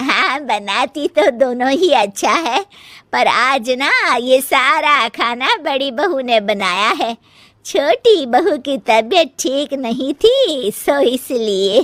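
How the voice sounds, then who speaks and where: A woman puts on a cartoonish character voice, high in pitch, with lively intonation and a very slow pace. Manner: authoritative.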